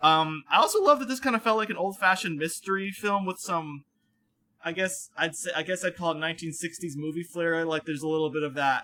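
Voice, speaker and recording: He speaks in an American accent at a moderate pace, fairly high for a man, with ordinary pitch variation. His tone is bright and sharp. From Connecticut, US. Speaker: podcast guest. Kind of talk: casual chat.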